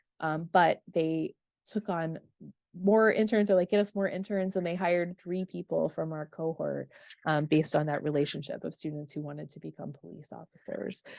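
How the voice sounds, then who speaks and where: A woman with a fairly low pitch. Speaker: professor. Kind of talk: online info session. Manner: fast; many filler ums.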